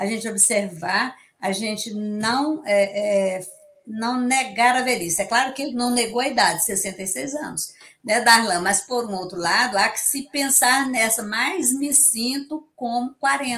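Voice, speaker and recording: Speaking at a fairly slow pace, a woman uses an ordinary speaking voice with a fairly high pitch and ordinary pitch variation. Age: 60s. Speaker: psychologist. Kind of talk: interview.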